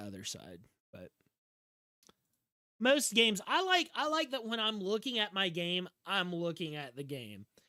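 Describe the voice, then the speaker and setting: Animated and raised, the voice projects in a Southern US accent with a bright, sharp tone. Its pitch swings very widely and its loudness shifts in big swings. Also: man. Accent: Southern drawl. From US South. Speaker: video game streamer. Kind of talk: live gameplay commentary. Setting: livestream. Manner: slurred speech.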